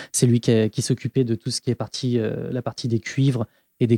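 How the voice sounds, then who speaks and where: A man of medium pitch with a dark, mellow tone, flat monotone intonation and a dry, close sound with no echo. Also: very clean recording, silent background. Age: 30s. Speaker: podcast guest, music enthusiast. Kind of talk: casual chat.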